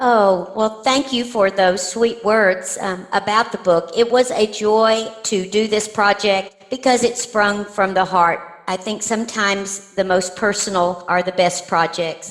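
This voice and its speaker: A woman's fairly slow, fairly even-toned speech with hardly any pauses over noticeable background noise. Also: medium pitch for a woman. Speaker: poet. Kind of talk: interview. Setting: podcast.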